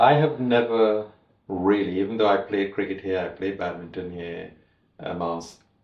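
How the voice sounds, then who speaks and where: A man with a Trinidadian accent speaks at a fairly slow pace and fairly low pitch with ordinary pitch variation. Audible room echo surrounds his voice. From Trinidad and Tobago. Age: 70s. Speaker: master tailor. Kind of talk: interview storytelling. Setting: in-person interview.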